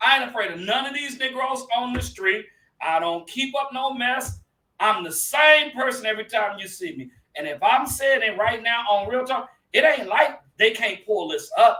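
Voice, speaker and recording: Extremely high in pitch, a man's raised, projected voice carries a bright, sharp tone and lively intonation at a moderate pace. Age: 50s. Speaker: pastor and talk show host. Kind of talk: casual chat. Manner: animated.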